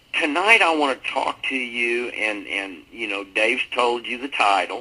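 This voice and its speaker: A man talks at a fairly slow pace with lively intonation. Noticeable background noise runs underneath. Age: 50s. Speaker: network marketing speaker. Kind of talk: motivational talk on a conference call. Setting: conference call. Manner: informal, off the cuff.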